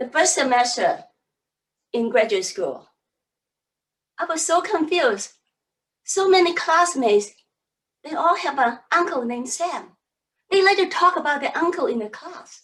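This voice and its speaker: Extremely high-pitched woman with very wide pitch swings, a moderate pace and long, frequent pauses. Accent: Cantonese. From Hong Kong. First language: Cantonese. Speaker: public speaking coach. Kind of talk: seminar talk.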